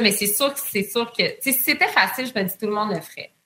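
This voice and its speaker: A woman's fairly high, bright, sharp voice at a fairly quick pace with ordinary pitch variation. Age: 30s. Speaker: entrepreneur. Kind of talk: interview.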